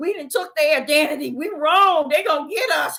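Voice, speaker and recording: Raised and projected, a woman's bright, sharp voice carries an animated tone at a moderate pace. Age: 60s. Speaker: street preacher. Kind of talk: livestream sermon. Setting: livestream from a laptop.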